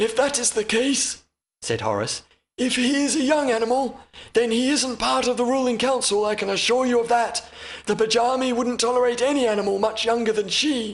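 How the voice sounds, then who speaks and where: A man puts on a character voice, pitched extremely high. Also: moderate pace. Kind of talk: audiobook character reading. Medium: read story. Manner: formal, measured, courteous.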